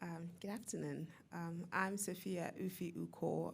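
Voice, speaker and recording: A woman is speaking. Her pitch is fairly low. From Nigeria. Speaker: entrepreneur. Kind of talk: panel discussion. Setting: stage with audience.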